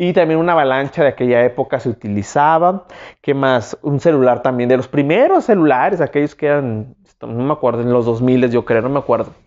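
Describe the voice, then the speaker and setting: The background is quiet. A man talks with an animated tone at a fairly quick pace. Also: ordinary pitch variation. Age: 30s. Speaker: YouTuber; vlogger. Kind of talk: self-interview monologue. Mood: relaxed, warm, animated. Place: home room. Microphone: lapel.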